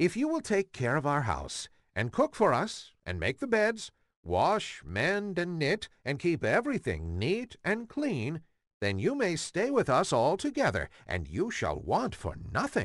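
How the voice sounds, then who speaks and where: Against a quiet background, a man uses a put-on character voice with a high pitch and a fairly slow pace. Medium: read story.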